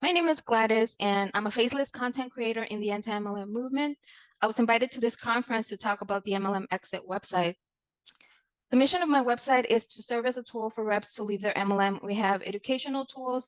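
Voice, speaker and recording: A woman speaks very fast in a Spanish accent, her pitch fairly high with ordinary variation. The sound is dry and close, with no echo. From Mexico. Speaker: content creator. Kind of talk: conference presentation. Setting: conference. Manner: formal.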